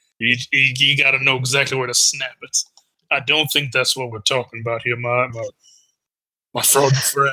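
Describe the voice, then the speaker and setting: A man's raspy, put-on character voice at a medium pitch, monotone and flat in intonation, moving at a moderate pace with long, frequent pauses. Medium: actual play. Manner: stammering, folksy.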